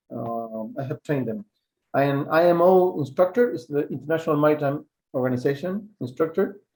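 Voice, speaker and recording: A man with a Spanish accent talks at a fairly quick pace. His fairly high voice has lively intonation. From Chile. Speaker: survival instructor. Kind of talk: webinar lecture. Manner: halting, with fillers.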